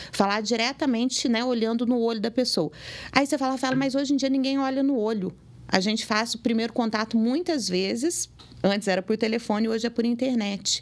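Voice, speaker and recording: Recorded very cleanly against a silent background, a woman uses a normal speaking voice at a fairly quick pace, her pitch fairly high with ordinary variation and her loudness very even. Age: 40s. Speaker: dentist. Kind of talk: interview.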